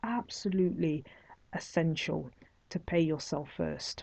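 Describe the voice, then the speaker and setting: In a Nottingham accent, a woman talks at a fairly slow pace. Her voice is fairly low, with ordinary pitch variation. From England, Nottingham. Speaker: online course instructor, entrepreneur. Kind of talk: online course lecture.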